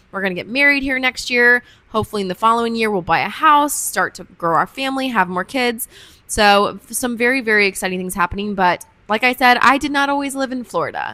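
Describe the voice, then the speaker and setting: A woman with an American accent talks at a very fast pace. Her pitch is fairly high, with ordinary variation. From US Midwest, Kansas, small town. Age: 20s. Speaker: podcast host. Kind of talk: casual chat. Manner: chatty, rambling.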